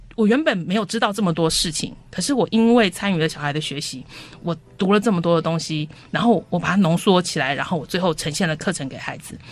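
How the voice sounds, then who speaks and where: Against noticeable background noise, a woman with a fairly low pitch speaks very fast with lively intonation. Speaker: homeschooling co-op parent. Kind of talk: radio interview.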